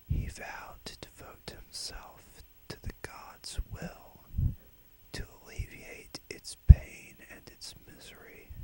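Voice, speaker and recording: Whispering at a very slow pace, a man lets his loudness swing widely. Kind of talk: whispered dark fantasy tale. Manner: whispered.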